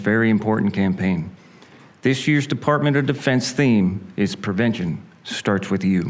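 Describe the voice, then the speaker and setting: At a fairly low pitch, a man speaks with lively intonation at a moderate pace. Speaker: master of ceremonies. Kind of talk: formal event announcing. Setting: stage with audience. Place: hall. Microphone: podium.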